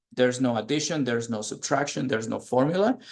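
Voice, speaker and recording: The speaker has a Spanish accent and ordinary pitch variation, over a quiet background. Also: man. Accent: Spanish accent, noticeable. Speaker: math teacher. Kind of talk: online lesson.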